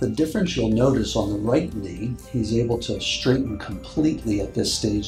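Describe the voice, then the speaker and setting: A man's lively intonation at a moderate pace, with music in the background. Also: medium pitch for a man, hardly any pauses. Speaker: orthopedic surgeon. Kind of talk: doctor explaining procedure.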